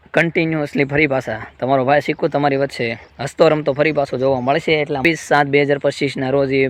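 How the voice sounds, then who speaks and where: A man talks with a fairly high pitch and monotone, flat intonation. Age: 20s. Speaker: vlogger. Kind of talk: personal vlog testimony.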